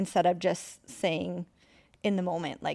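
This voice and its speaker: A woman speaks softly. Her pace is moderate. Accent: American. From Northern California. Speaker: salon owner. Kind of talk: interview. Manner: soft-spoken.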